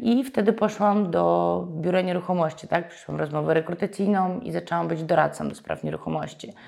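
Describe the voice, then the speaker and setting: A woman speaks at a fairly quick pace. She leaves hardly any pauses. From Ukraine, Donbas region. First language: Ukrainian or Russian (speaking Polish). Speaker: real estate agency owner. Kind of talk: interview.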